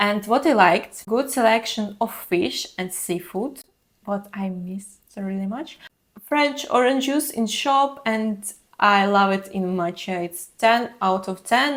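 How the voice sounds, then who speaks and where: At a fairly slow pace, a woman talks in a fairly high pitch with ordinary pitch variation. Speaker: travel vlogger. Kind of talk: casual vlog monologue.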